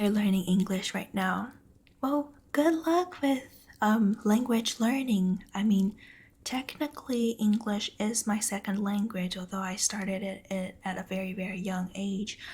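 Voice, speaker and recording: Soft-spoken, this speaker moves along at a fairly slow pace. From Taiwan. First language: Mandarin Chinese. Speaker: ASMR streamer. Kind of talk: casual chat with stream viewers. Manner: quiet.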